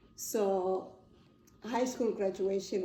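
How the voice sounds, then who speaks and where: In a room with audible echo, a woman talks at a medium pitch with monotone, flat intonation. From South Africa. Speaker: interviewee, parent. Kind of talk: interview.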